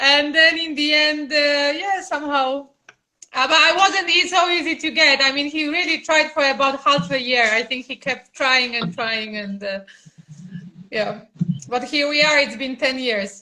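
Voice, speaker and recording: A woman with a Polish accent speaks at a moderate pace in a raised, projected voice, her high pitch carried by lively intonation and a bright, sharp tone. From Poland. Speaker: mother of the channel's child. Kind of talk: interview. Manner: halting.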